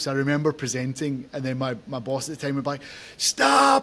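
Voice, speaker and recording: A man's fairly high voice in a monotone, flat intonation at a fairly quick pace, with noticeable background noise. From Scotland, Glasgow. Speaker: podcast host. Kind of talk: casual interview chat. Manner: fast.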